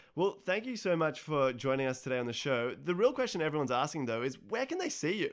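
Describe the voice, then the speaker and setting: Over noticeable background noise, a man with an Australian accent talks at a very fast pace with hardly any pauses, his fairly high pitch swinging very widely. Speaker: radio host. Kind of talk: interview.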